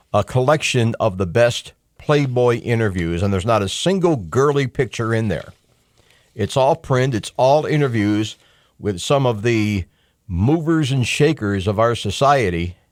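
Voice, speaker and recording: A man with a normal speaking voice talks at medium pitch with lively intonation, on a very clean recording with a silent background. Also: moderate pace. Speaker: talk radio host. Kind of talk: talk radio show monologue. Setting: radio studio broadcast.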